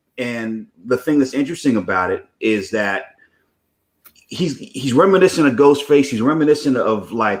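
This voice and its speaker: An ordinary speaking voice in an American accent moves at a moderate pace with ordinary pitch variation. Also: man. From Connecticut, US. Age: 40s. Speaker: screenwriter and TV producer. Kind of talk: interview. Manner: casual, many fillers.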